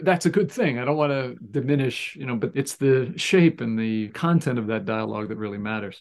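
With a normal speaking voice, a man of medium pitch talks at a fairly quick pace with lively intonation and hardly any pauses. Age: 60s. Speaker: communication professor and former sports reporter. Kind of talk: interview.

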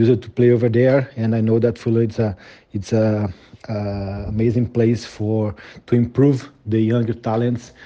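Man's dark, mellow voice at a medium pitch, flat and monotone, at a moderate pace. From Brazil. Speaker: sports journalist. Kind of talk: recorded message. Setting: remote recording. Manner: halting.

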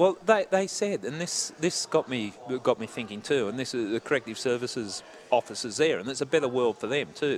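Talking fairly quickly, a man speaks with an Australian accent. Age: 60s. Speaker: former homicide detective. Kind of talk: casual interview. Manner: halting.

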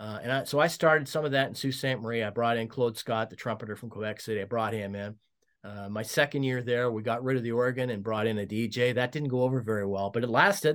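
A man with a Canadian Prairies accent at a very fast pace, medium pitch and ordinary pitch variation, on a very clean recording with a silent background. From Saskatchewan, Canada (Regina). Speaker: former hockey team executive. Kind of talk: storytelling interview. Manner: hesitant, many fillers.

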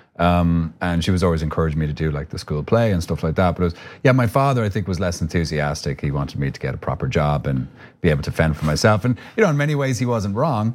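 A man with an Irish accent, very deep and low in pitch, at a very fast pace with lively intonation. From Ireland. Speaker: actor. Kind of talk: interview.

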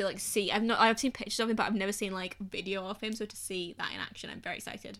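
On a very clean recording with a silent background, a woman speaks very fast. Her bright, sharp tone holds a monotone, flat intonation. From northwest England. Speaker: theatre podcast host. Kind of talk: casual chat.

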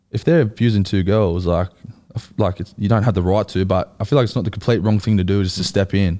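Talking at a very fast pace, a man with an Australian accent has a fairly low pitch and ordinary pitch variation. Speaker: rugby league player. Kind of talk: casual chat. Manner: relaxed, casual.

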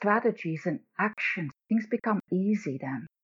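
A woman talks at a moderate pace in a somewhat breathy, medium-pitched voice with lively intonation. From Netherlands. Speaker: executive coach. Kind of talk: casual interview chat.

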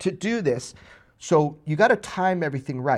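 The background is quiet, and the voice is an unremarkable speaking voice. It moves at a moderate pace. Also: man. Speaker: podcast co-host. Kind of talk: casual chat.

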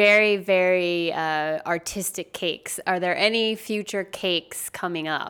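A woman with an ordinary speaking voice talks at medium pitch and a fairly slow pace. Her intonation is fairly even, and the recording is very clean with a silent background. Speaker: podcast host. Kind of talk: casual interview conversation.

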